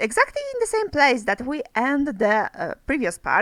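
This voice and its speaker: A woman's high voice with very wide pitch swings, in a very clean, silent recording with a dry, close sound and no echo. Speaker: gaming YouTuber. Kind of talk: let's play commentary. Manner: hesitant, many fillers.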